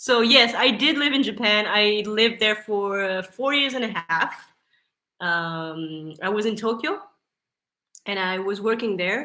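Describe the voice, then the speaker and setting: A woman with a French accent, medium pitch and ordinary pitch variation. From France. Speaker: YouTuber. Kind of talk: casual chat. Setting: live stream. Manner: halting.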